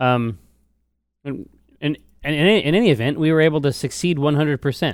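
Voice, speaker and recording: A man speaks at a medium pitch in an animated tone. His intonation is lively. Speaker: podcast co-host and gamer. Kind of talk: casual banter about gaming. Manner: animated, jokey.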